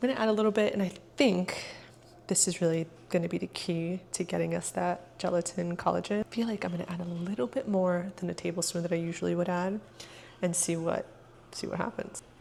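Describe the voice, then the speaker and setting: Delivered at a fairly quick pace, a plain, everyday voice keeps a fairly even intonation. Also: woman, fairly low pitch for a woman. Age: 30s. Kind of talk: casual cooking vlog talk to camera.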